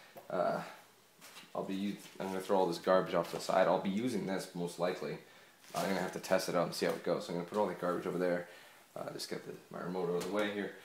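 Very fast and monotone with flat intonation, a man's very deep, low voice comes through audible room echo and light background noise. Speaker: gaming YouTuber. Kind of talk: unboxing video. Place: home room. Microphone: cheap USB mic picking up TV echo; phone near.

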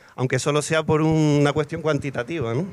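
A man talks in an ordinary speaking voice. His pitch is fairly high and his intonation fairly even. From Canary Islands, Tenerife; Canary Islands. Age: 40s. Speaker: poet. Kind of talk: panel discussion. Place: garden. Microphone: handheld.

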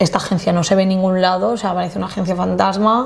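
A woman speaks very fast with ordinary pitch variation. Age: 20s. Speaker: luxury event planner; podcast guest. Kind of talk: casual interview chat. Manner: animated. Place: studio.

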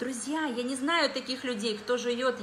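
A woman's high-pitched, animated voice at a fairly slow pace, with audible room echo and light background noise. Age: 40s. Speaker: dietitian and wellness product distributor. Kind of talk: live stream product presentation. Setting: live video stream on social media. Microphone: phone near.

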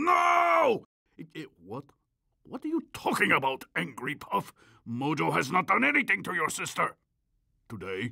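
A man performs a cartoonish character voice, pitched fairly high. He keeps a moderate pace but takes long, frequent pauses. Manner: pompous, speaks of himself in third person.

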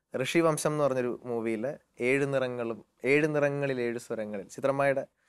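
The background is quiet. A man talks, his pitch moving in an ordinary way. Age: young. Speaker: playback singer; interview guest. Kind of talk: interview. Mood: warm, smiling, anecdotal. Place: studio. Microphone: lapel.

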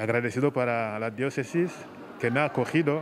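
A man is speaking over light background noise. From Rwanda. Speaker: priest. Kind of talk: interview testimony. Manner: halting. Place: hall. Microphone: handheld.

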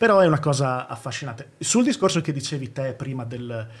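This is a man's voice. It sounds somewhat breathy. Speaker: YouTuber. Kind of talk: casual chat. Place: studio. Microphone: studio mic.

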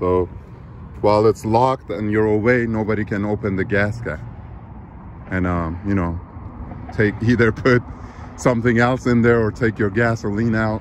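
A man with a fairly low voice talks at a moderate pace with fairly even intonation, leaving long, frequent pauses, in a dry sound with no echo over light background noise. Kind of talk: casual tutorial. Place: street. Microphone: phone near.

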